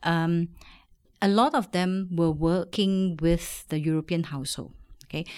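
A woman speaks at a fairly slow pace and a fairly low pitch, her intonation fairly even. It is a plain, everyday voice on a very clean recording with a silent background. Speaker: food researcher and lecturer. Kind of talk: interview.

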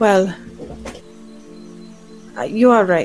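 This croaky, put-on character voice sounds female and sits at medium pitch. Clear music plays in the background. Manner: sighing, giving in.

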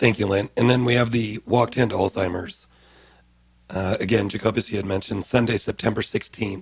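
A man's fairly low, somewhat breathy voice with fairly even intonation. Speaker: senior living community relations director. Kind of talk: radio interview. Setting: studio.

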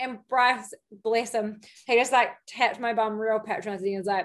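A woman speaks at a moderate pace and a fairly high pitch. Her intonation stays fairly even.

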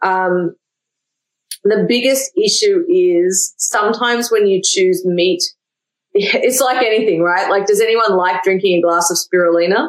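Her loudness very even, a woman with an Australian accent speaks at a fairly slow pace in a medium pitch with ordinary pitch variation. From Australia, Melbourne. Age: 40s. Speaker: barbecue expert and cookbook author. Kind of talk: casual interview chat.

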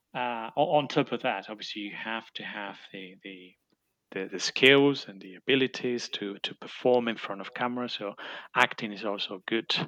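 Speaking with a Spanish accent at a moderate pace, a man has a medium-pitched voice with a bright, sharp tone, ordinary pitch variation and big swings in loudness, recorded with a dry, close sound, no echo and a quiet background. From Spain. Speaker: stunt performer. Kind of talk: interview. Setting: remote call from Madrid. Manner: halting, many repetitions.

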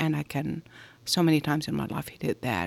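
On a very clean recording with a silent background and a dry, close sound with no echo, a woman speaks at a moderate pace with vocal fry. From Egypt. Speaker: doctor. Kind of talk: casual chat.

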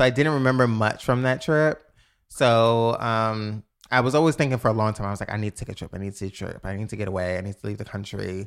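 Speaking very fast in a New York accent, a man of medium pitch shows big swings in loudness and ordinary pitch variation on a very clean recording with a silent background. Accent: New York City. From the Bronx, New York. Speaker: entertainer and online boutique owner. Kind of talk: casual chat.

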